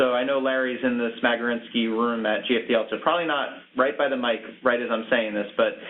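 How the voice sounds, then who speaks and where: A man talks very fast at medium pitch with fairly even intonation. Noticeable background noise sits behind him. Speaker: webinar moderator. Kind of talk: webinar moderation. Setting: online webinar call.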